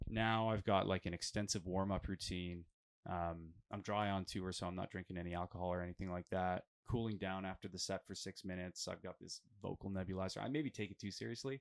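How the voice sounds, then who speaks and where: This man has a very deep, low pitch and a Western Canadian accent. He talks at a fairly quick pace. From Alberta, Canada. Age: 30s. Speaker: metal band vocalist. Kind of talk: casual interview. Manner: animated, with frequent fillers.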